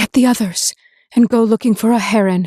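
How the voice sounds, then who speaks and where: In a put-on character voice, a woman speaks fairly quickly at a fairly high pitch with fairly even intonation, on a very clean recording with a silent background. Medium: read story.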